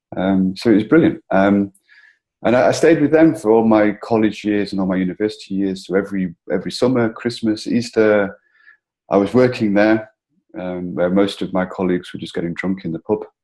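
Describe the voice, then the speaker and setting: A man with a northern English accent speaks at a fairly quick pace in a dark, mellow tone. His pitch is fairly low with ordinary variation, and the background is quiet. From northern England, between Liverpool and Manchester. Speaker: entrepreneur, founder of a coworking community. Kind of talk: interview.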